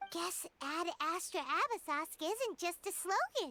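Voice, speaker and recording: The voice is a put-on character voice. Its pitch is extremely high and its pace fairly slow. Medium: video game. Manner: chatty, reactive.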